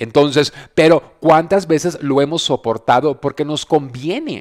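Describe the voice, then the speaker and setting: A man speaks at a fairly slow pace with a fairly high pitch. His tone is animated, and the background is quiet. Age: 40s. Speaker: radio host and business coach; radio host, business coach. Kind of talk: casual motivational talk. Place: home room. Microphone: headset.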